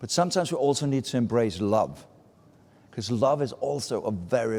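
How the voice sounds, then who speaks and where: With a Danish accent, a man talks at a fairly quick pace at medium pitch, his voice swinging very widely up and down. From Denmark, small Baltic island. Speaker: advertising speaker. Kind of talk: talk to a live audience. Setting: stage with audience at a festival meetup.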